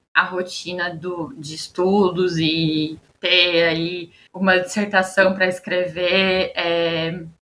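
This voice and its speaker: A woman's bright, sharp voice at a medium pitch. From Osasco, São Paulo state, Brazil. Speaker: researcher and master's student. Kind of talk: casual chat.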